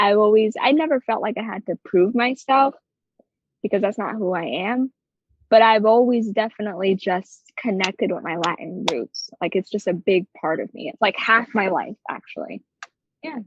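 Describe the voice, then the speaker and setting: At a moderate pace, a woman with a New Jersey accent talks in a fairly high pitch with ordinary pitch variation. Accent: New Jersey American. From New Jersey, US. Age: 20s. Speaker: creative director. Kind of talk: podcast interview. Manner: animated.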